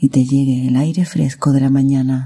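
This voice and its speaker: Calm and soothing, a woman speaks fairly slowly in a very deep, low, dark and mellow voice that is somewhat breathy. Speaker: meditation guide. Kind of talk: guided meditation. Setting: recorded with real nature sounds in the background. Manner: calm, soothing, slow.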